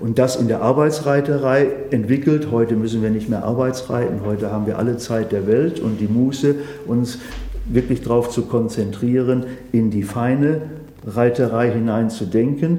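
The speech has fairly even intonation and a moderate pace. Noticeable background noise and audible room echo are present. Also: man, medium pitch for a man. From Sauerland, Germany. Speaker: horse trainer. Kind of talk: interview.

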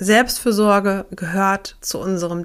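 Recorded very cleanly against a silent background, a woman speaks at medium pitch in a flat monotone. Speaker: podcast host and burnout prevention coach. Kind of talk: solo podcast monologue.

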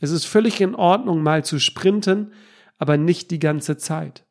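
This man talks at a high pitch and a fairly slow pace, with ordinary pitch variation. The recording is very clean, the background silent. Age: 30s. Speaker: podcast host and health company founder. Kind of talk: solo podcast monologue.

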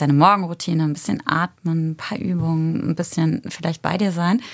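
Talking at a fairly quick pace, a woman with a very deep, low pitch keeps her intonation fairly even. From Germany, Eifel region. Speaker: yoga teacher. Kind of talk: casual chat.

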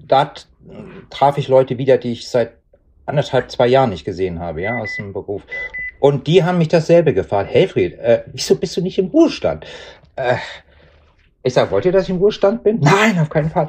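The voice carries vocal fry and very wide pitch swings, broken by long, frequent pauses. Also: man, fairly quick pace. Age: 60s. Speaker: retiree working as a coach. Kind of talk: interview. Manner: halting.

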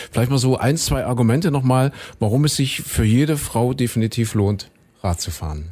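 Somewhat breathy and dark, mellow in tone, a man speaks at a medium pitch and moderate pace with lively intonation. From Saxony. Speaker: podcast host. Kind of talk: casual interview. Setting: studio.

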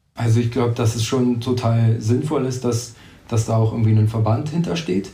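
The man has a dark, mellow, somewhat breathy voice at medium pitch. He speaks at a moderate pace with ordinary pitch variation. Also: very even loudness. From Brandenburg, Germany. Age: 20s. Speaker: race organiser. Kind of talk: interview.

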